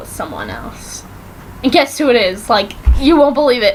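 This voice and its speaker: Through noticeable background noise, a woman speaks in an animated tone. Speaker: vlogger. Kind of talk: casual TV recap vlog.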